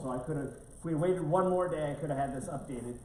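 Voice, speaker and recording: A man with an American accent and ordinary pitch variation, amid audible room echo and noticeable background noise. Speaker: economic development presenter. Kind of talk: public presentation at board meeting. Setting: county board meeting room with audience. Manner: halting, many fillers.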